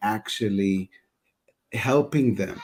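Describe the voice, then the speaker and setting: A man with an Israeli accent speaks at a fairly low pitch, the sound dry and close with no echo. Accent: Hebrew. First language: Hebrew. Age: 40s. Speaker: customer success head. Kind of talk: panel discussion. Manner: halting, repetitive.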